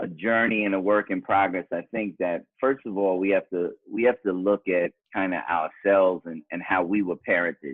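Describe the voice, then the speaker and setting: A man with a New York accent, fairly low in pitch, at a moderate pace. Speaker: author and father. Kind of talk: interview.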